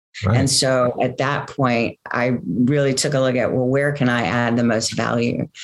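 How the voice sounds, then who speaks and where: With an American accent and a very deep, low pitch, a woman speaks at a moderate pace with vocal fry, very even loudness, fairly even intonation and hardly any pauses. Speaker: company co-founder and sustainability business leader. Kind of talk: casual interview conversation.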